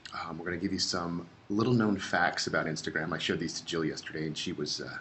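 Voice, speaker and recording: Over noticeable background noise and audible room echo, a man with a very deep, low pitch talks at a very fast pace. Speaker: social media presenter. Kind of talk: webinar presentation. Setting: online webinar. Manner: animated.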